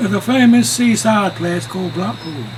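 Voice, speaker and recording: Music plays in the background while the speaker talks at a fairly slow pace. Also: man. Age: 80s+. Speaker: amateur reciter. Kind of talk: poetry reading.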